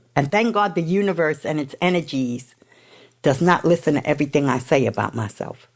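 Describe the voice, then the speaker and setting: A woman's very deep, low voice with a New York accent, at a fairly quick pace. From New York City. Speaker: person in addiction recovery. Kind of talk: testimony. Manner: loud.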